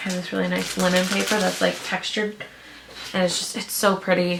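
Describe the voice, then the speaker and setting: A woman with a medium pitch amid noticeable background noise. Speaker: small business owner, vlogger. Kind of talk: casual vlog narration. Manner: casual, filler-heavy.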